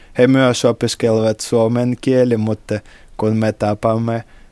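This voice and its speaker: Dry and close with no echo, a man's voice has a dark, mellow tone, fairly low pitch and a Russian accent. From Russia, St Petersburg. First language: Russian (speaking Finnish). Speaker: hotel worker and tourism student. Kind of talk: interview. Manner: halting, with hesitations.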